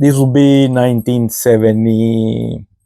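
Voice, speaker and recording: In a Mexican accent, a man talks with a dark, mellow tone. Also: dry, close sound with no echo. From Mexico. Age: 50s. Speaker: podcast host. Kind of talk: casual monologue.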